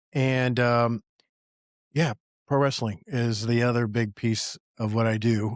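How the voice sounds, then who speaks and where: A man with a plain, everyday voice speaks at a medium pitch with fairly even intonation. The sound is dry and close with no echo, on a very clean recording with a silent background. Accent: American. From Appalachian Virginia, US. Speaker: entrepreneur and army veteran. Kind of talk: casual podcast conversation.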